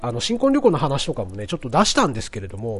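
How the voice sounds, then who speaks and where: The voice is somewhat breathy, racing at a very fast pace with very wide pitch swings. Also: man. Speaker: podcast host. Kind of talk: casual monologue. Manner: frequent filler words.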